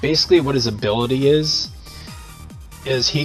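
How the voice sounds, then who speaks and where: A man's voice with music in the background. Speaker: gamer. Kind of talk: casual gameplay commentary. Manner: casual, conversational.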